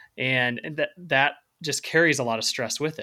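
The voice has a bright, sharp tone and an American accent, moving at a moderate pace with ordinary pitch variation. The recording is very clean, with a silent background. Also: man. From US Midwest (Central Illinois). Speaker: author and podcast co-host. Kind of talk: casual chat.

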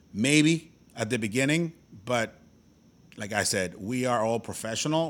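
In a Spanish accent, a man speaks at medium pitch with lively intonation on a very clean recording with a silent background. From Tijuana, Mexico. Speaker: baseball podcast co-host. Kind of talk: casual chat.

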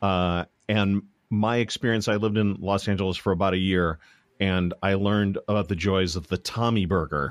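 A man with an unremarkable speaking voice talks at a moderate pace in a fairly low pitch with fairly even intonation. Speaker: podcast host. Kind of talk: casual interview. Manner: talkative, many fillers.

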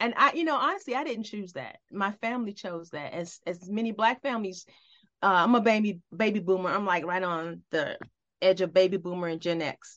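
A woman with an unremarkable speaking voice talks at a fairly quick pace and medium pitch. Her intonation is lively, and the background is quiet. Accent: American. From US South, eastern North Carolina. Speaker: retired police captain and professor. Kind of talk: casual interview.

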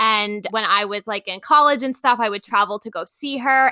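Her fairly high voice bright and sharp, a woman speaks at a fairly quick pace with ordinary pitch variation, the sound dry and close with no echo. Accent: New York. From Long Island, New York. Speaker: travel blogger. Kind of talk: interview.

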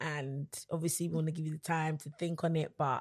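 Over a quiet background, a woman with a London accent speaks at a moderate pace in a very deep, low pitch with monotone, flat intonation. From London, England. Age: 20s. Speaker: gospel singer and songwriter. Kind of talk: casual interview.

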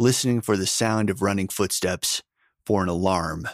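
A natural voice reading aloud, with quiet in the background

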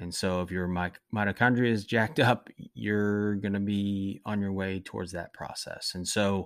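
A man's ordinary speaking voice at a moderate pace, with fairly even intonation, in a very clean recording with a silent background. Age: 40s. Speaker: wellness podcast host. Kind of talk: solo monologue podcast. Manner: frequent filler words and self-corrections.

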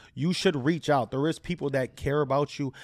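A man with an American accent has an unremarkable speaking voice, a fairly high pitch and ordinary pitch variation. He speaks fairly quickly in a very clean recording with a silent background. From Chicago, northwest side. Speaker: fitness trainer. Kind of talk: casual chat.

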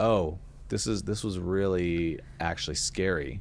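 Speaking in a plain, everyday voice, a man has a fairly low pitch with ordinary pitch variation. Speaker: podcast host. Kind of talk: casual chat.

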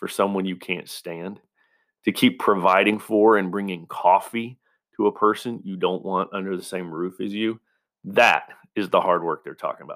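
With an unremarkable speaking voice, a man talks at a moderate pace and a fairly low pitch in a very clean recording with a silent background. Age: 40s. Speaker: podcast host, military veteran. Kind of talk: motivational monologue. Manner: casual, conversational.

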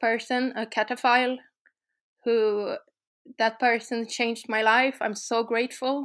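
In a Swedish accent, a woman talks at a fairly high pitch with flat, monotone intonation on a very clean recording with a silent background. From Sweden. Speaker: urban explorer. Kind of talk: casual interview. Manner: halting.

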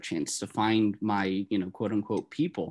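With an American accent, a man with an ordinary speaking voice talks at a moderate pace and a fairly low pitch against a quiet background. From northern New Jersey. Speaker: optometry student. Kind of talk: casual interview.

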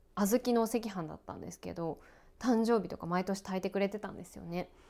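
Using a normal speaking voice, a woman talks at a medium pitch. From Japan, outside Hokkaido. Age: 30s. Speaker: radio and TV announcer. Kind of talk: casual solo talk while cooking. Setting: at home.

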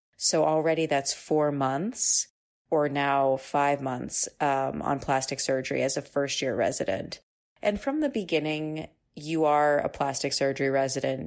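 In a very clean recording with a silent background, a woman with a very deep, low pitch speaks fairly slowly, her loudness very even and her intonation fairly even. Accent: American. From US Northeast, Boston area (Newton, Massachusetts). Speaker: plastic surgery resident. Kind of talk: interview.

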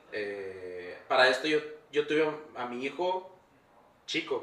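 Lively intonation comes through over noticeable background noise. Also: man. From Tijuana, Baja California, Mexico. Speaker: off-road content creator. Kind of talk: casual interview chat. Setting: workshop recording space.

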